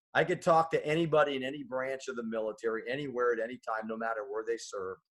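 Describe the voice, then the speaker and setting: A man at medium pitch, talking at a very fast pace. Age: 60s. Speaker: army veteran, business owner. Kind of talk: interview. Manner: halting, repeats words.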